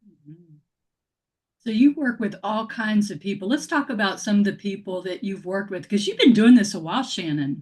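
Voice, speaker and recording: Using an American accent, a woman with a medium pitch and a somewhat breathy voice speaks at a fairly quick pace with lively intonation and big swings in loudness. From North Florida. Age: 60s. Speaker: radio talk show host. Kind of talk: radio interview. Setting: radio show.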